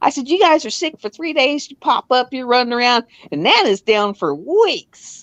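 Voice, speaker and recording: A woman talks at a moderate pace in a high voice with very wide pitch swings, recorded with a dry, close sound and no echo. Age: 60s. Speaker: live streamer; US military veteran. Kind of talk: casual chat. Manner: animated.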